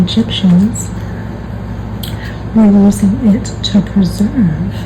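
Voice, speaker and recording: A woman speaks over noticeable background noise. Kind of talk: ASMR book flip-through narration, talking to camera. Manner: soft, whispered ASMR delivery.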